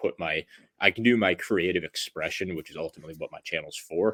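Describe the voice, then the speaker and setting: Fairly quick speech in a dry, close sound with no echo, on a very clean recording with a silent background. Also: man. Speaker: fitness YouTuber. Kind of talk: casual chat. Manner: monotone; soft-spoken.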